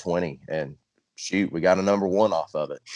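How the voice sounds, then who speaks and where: Very deep, low male voice in an East Texas accent, fairly even intonation, dry, close sound with no echo. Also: quiet background. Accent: Southern country drawl, sounds East Texas. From Central Arkansas, US South. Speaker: country singer-songwriter. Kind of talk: casual interview chat.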